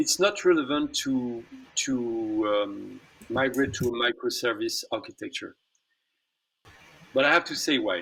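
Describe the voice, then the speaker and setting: A man with a French accent, fairly slow and broken up by long, frequent pauses. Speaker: tech company executive. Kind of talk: online interview. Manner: halting.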